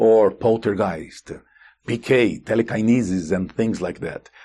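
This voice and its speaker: Speaking in a Portuguese accent, a man uses a fairly low pitch and a dark, mellow tone at a fairly slow pace over a quiet background. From Brazil. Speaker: consciousness researcher and author. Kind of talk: interview. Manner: halting.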